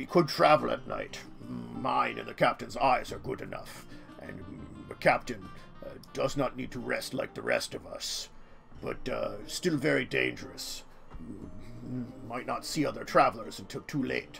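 Clear music plays in the background as a man performs a put-on character voice at a moderate pace. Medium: actual play. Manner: cautious, warning; clipped, blunt, matter-of-fact.

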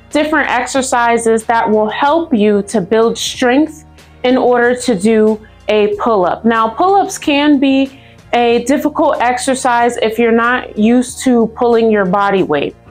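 Against faint background music, a woman speaks with a high pitch and ordinary pitch variation. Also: fairly slow pace, very even loudness. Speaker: fitness instructor. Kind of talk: tutorial. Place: gym. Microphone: camera far.

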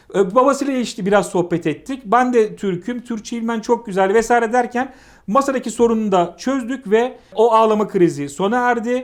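In a very clean recording with a silent background, a man with an extremely high pitch and ordinary pitch variation speaks at a moderate pace with hardly any pauses. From Turkey, İzmir (Aegean). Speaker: chess arbiter. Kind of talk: casual chat, anecdote telling.

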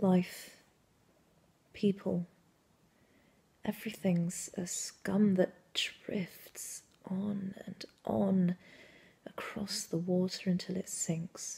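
A woman speaks at a medium pitch in a somewhat breathy voice with a dark, mellow tone. Her monotone, flat delivery is very slow, with long, frequent pauses. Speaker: actor. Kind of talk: dramatic monologue performance. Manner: intimate, confessional. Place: home room. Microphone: phone near.

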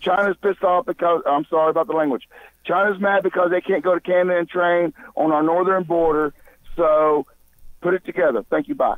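Against a quiet background with a dry sound and no echo, a man talks at a fairly quick pace in a high pitch with fairly even intonation. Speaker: show contributor. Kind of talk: casual discussion. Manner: hesitant. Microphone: phone line.

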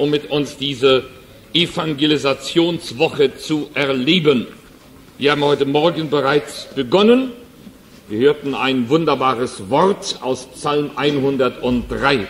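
With an ordinary speaking voice, a man talks at a fairly slow pace in a fairly high pitch with ordinary pitch variation. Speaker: evangelist, preacher. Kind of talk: sermon. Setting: church hall, live audience. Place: church.

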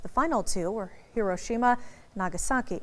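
Lively intonation marks this woman's fairly high-pitched, unremarkable speaking voice. She talks at a moderate pace. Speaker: news reporter. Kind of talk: TV news narration.

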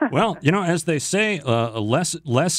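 At a moderate pace, a voice with very wide pitch swings comes through dry, with no echo and a quiet background. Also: man. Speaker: radio morning show host. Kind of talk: radio interview host. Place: studio.

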